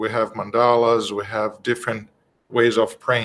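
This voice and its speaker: A man with a Brazilian accent talks at a fairly slow pace in a medium pitch. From Brazil (Rio de Janeiro). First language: Portuguese. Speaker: spiritist study presenter. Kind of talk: religious study talk. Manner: halting, many fillers.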